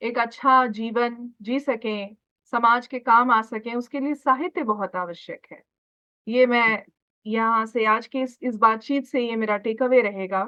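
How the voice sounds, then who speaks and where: A woman speaks with a Bihar accent at a fairly high pitch. Her intonation stays fairly even. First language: Maithili (speaking Hindi). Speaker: radio interviewer. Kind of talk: interview.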